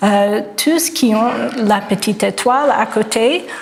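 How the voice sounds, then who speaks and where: A woman speaks with a slight non-native accent in a fairly high pitch with ordinary pitch variation. Audible room echo and noticeable background noise surround her voice. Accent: slight foreign accent in French. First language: English (speaking French). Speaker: art historian, professor. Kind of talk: lecture. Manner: halting, many hesitations.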